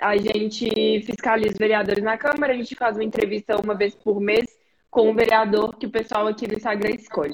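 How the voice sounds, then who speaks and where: A woman speaks at a fairly quick pace with fairly high pitch and fairly even intonation, in an ordinary speaking voice. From Brazil, Belo Horizonte. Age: 20s. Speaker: podcast host and student. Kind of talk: interview. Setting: live stream.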